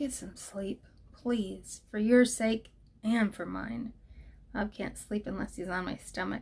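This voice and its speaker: Woman's raspy, put-on character voice at medium pitch, fairly slow in pace. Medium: read story.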